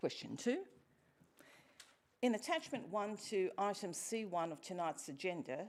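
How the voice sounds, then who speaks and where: Speaking in an Australian accent, a woman keeps to a moderate pace. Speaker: member of the public asking questions at council meeting. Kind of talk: formal public question time. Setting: council chambers.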